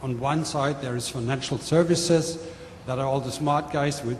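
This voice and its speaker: A man with a German accent and a fairly high pitch, fairly even intonation, a moderate pace, and noticeable background noise. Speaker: manufacturing executive. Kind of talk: panel presentation. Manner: hesitant, with fillers.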